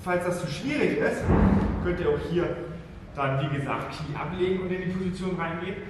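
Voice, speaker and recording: There is audible room echo and loud background noise. A man talks at a fairly quick pace. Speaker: fitness trainer. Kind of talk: tutorial. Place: gym.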